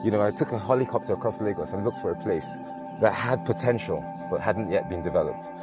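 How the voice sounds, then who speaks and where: The speech comes at a very fast pace with ordinary pitch variation, a dry sound with no echo, and clear music in the background. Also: man. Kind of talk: interview answer. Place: beach. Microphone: lapel.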